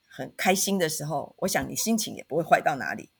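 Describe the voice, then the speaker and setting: With a normal speaking voice, a woman of medium pitch talks at a moderate pace with lively intonation on a very clean recording with a silent background. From Taiwan, Taitung. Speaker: university professor. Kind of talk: podcast interview.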